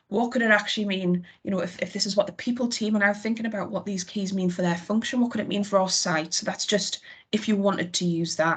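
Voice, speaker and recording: A woman's very fast, somewhat breathy speech in a Geordie accent, medium in pitch, with fairly even intonation and hardly any pauses. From northern England, Newcastle area. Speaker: HR team member presenting to managers. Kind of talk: work presentation on video call.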